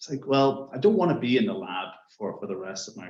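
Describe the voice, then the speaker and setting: With an Irish accent, a man of medium pitch talks at a fairly quick pace using very wide pitch swings. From Ireland. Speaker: science and strategy consultant. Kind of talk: panel discussion.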